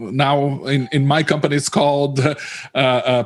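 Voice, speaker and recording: Over noticeable background noise, a man with a Portuguese accent talks at a moderate pace in a fairly high, monotone, flat voice. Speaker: localization industry analyst. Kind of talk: panel discussion. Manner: halting, many repetitions.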